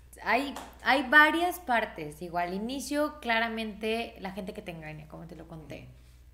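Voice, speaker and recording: The woman's intonation is lively. Her voice carries audible room echo. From Mexico, Irapuato (Guanajuato). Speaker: singer. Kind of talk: casual chat.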